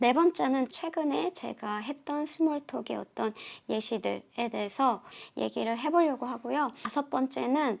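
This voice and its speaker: With lively intonation, a woman speaks at a high pitch and a very slow pace. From South Korea. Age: 40s. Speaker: YouTuber sharing English learning. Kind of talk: casual vlog talk.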